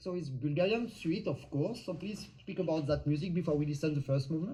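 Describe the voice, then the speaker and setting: This man has a non-native accent and a dark, mellow tone at a fairly high pitch. He talks at a very fast pace with ordinary pitch variation. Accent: foreign accent in English. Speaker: live show host. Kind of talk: live interview. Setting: live stream. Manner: hesitant, many fillers.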